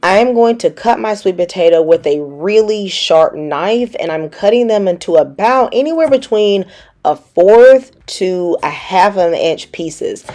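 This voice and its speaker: A woman with a Southern US accent, medium pitch and a dark, mellow tone, with lively intonation and hardly any pauses. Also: fairly slow pace. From US South. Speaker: cooking channel host. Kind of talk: cooking tutorial. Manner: casual, chatty.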